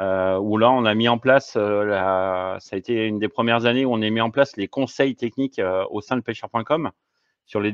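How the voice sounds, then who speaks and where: Here a man with a fairly low pitch and ordinary pitch variation talks at a fairly quick pace. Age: 50s. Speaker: fishing equipment advisor and fishing guide. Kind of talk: casual interview. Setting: podcast recording. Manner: halting, many hesitations.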